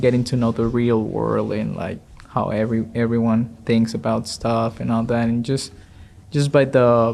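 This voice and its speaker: Man with a non-native accent. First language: not English. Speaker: door-to-door solar salesperson. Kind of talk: casual chat. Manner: halting.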